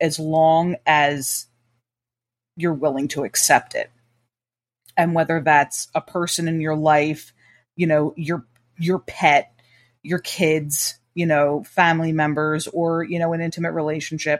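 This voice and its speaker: In a very clean recording with a silent background and a dry, close sound with no echo, a woman with an American accent speaks at a very deep, low pitch, flat and monotone, fairly slowly and with long, frequent pauses. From Trenton, New Jersey. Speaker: podcast host. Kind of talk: casual interview chat.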